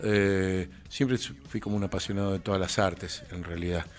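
A man's very deep, low voice at a fairly slow pace. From Argentina, Mendoza. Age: 50s. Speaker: musician. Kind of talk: interview.

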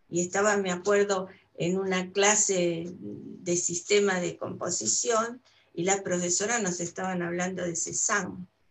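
A woman's medium-pitched voice in an Argentine accent, at a fairly slow pace with fairly even intonation. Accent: Argentine Spanish (Rioplatense). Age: 70s. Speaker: retired painter and art teacher. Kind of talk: casual interview. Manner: halting, many fillers.

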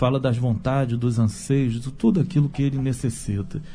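Dark and mellow in tone, a man speaks at medium pitch. His voice is somewhat breathy. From Brazil, Rio de Janeiro. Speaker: theologian and writer. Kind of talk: radio panel discussion.

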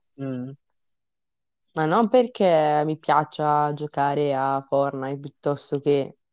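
A woman with a very deep, low voice speaks at a very slow pace. She leaves long, frequent pauses, and her pitch varies in an ordinary way. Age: young. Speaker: podcast co-host, university student. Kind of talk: casual chat.

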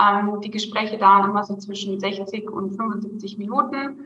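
Fairly slow speech from a woman at a fairly high pitch, with audible room echo. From Bavaria. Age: 30s. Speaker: sales closer. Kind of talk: interview.

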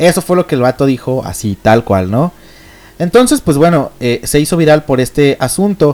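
A man with a Mexican accent, fairly high pitch, very wide pitch swings and a moderate pace. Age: 20s. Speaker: online radio host. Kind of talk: casual solo radio chat. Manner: hesitant, many fillers.

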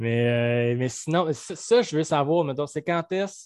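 A man with a Quebec accent at a very slow pace, his pitch varying in an ordinary way. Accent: Québécois French. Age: 30s. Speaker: podcast host, shop owner. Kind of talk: casual interview.

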